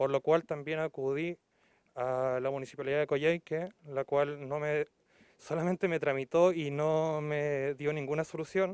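The sound is dry and close, with no echo. A man with a fairly high voice speaks at a fairly slow pace. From Chile, Aysén region (Coyhaique). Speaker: local resident making a complaint. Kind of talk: public complaint to TV news. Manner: halting, many fillers.

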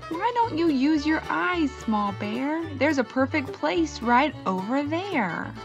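Over clear background music, a woman uses a put-on character voice, high in pitch, with big pitch swings and a slow pace.

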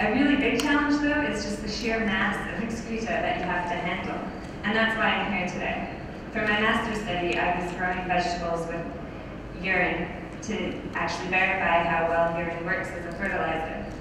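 Against noticeable background noise and strong room echo, a woman talks at a fairly quick pace at a medium pitch. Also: ordinary pitch variation. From Canada. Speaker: PhD student. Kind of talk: conference presentation. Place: hall.

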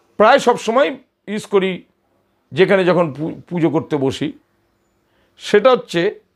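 This man speaks with a high pitch and lively intonation. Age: old. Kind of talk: religious tutorial. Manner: partly reading from notes.

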